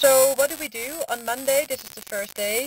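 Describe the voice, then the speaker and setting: Ordinary pitch variation from a woman talking at a moderate pace, noticeable background noise behind her. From Netherlands. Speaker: lecturer, design sprint consultant. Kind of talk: online lecture.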